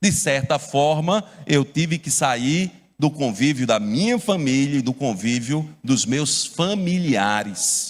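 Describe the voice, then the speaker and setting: A man with a Paraíba accent at a fairly high pitch, very slow pace and lively intonation, on a very clean recording with a silent background. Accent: Paraíba (northeastern Brazilian). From Brazil, Paraíba (João Pessoa). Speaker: pastor. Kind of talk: sermon.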